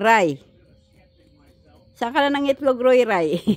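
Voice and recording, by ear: This voice belongs to a woman. Her pitch is fairly high.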